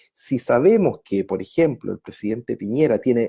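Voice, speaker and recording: The recording is very clean and the background silent. Speech unfolds at a fairly slow pace. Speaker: pension advice livestream host. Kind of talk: live stream Q&A.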